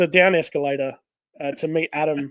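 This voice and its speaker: In an Australian accent, a man talks with a dry, close sound and no echo. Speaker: podcast host. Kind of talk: casual chat. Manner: halting, many fillers.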